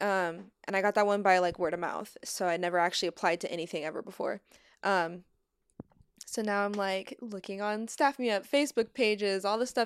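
A woman of medium pitch speaks with an American accent at a fairly quick pace with ordinary pitch variation. The recording is very clean, with a silent background. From US Midwest, Missouri. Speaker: cinematographer. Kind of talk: casual chat.

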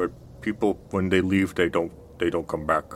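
In a put-on character voice with a very deep, low pitch, a man speaks at a moderate pace over clear background noise. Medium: actual play. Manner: hesitant, simple.

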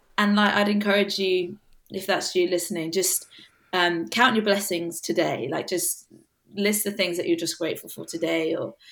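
A woman's medium-pitched voice with a southern English accent, ordinary pitch variation and a moderate pace. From England, south coast village. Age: 20s. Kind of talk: casual interview chat.

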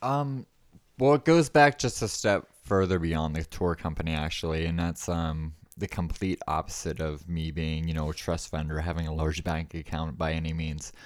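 On a very clean recording with a silent background, a man with an American accent speaks at a moderate pace, his very deep, low pitch showing ordinary variation. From US East Coast. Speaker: small business owner and military veteran. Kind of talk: casual interview. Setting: studio.

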